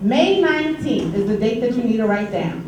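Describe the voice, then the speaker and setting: Against noticeable background noise and audible room echo, a woman with an American accent speaks at a moderate pace, fairly high-pitched, with lively intonation. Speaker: union treasurer and committee chair. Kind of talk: meeting report.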